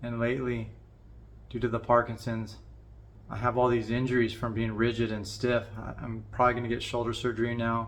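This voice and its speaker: In a room with audible echo, a man talks fairly quickly at medium pitch in a flat monotone. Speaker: vlogger with Parkinson's disease, musician. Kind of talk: personal vlog monologue. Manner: somewhat monotone, constricted by Parkinson's; halting, repeated words.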